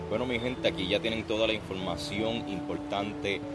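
Over music in the background and with audible room echo, a man with a Puerto Rican accent speaks with lively intonation. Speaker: podcast host. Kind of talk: interview. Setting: outdoors.

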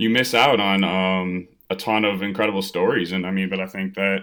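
A man speaks in a very deep, low voice with an American accent. His intonation is flat and monotone. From US Midwest, Evanston near Chicago, Illinois. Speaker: minor league baseball pitcher. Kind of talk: casual interview. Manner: casual, filler-heavy.

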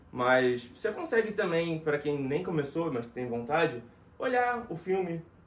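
Noticeable background noise sits behind a high-pitched man. He talks at a fairly slow pace with very wide pitch swings. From Rio de Janeiro, Brazil. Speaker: voice actor and dubbing director. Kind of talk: casual interview chat.

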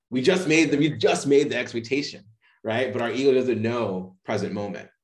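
With an American accent, a man talks at a moderate pace and medium pitch in a plain, everyday voice with lively intonation. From Boston, Massachusetts. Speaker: mindset and playfulness coach. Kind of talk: interview conversation.

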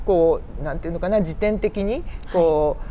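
Her pitch moves across a very wide range. The woman talks fairly slowly. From Saitama, Kanto. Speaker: museum researcher. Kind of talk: interview.

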